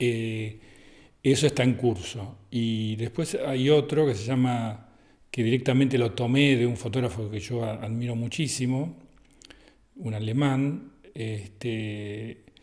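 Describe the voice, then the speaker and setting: Keeping a fairly even intonation, a man of medium pitch talks at a very slow pace. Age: 60s. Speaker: photographer. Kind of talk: interview. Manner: halting.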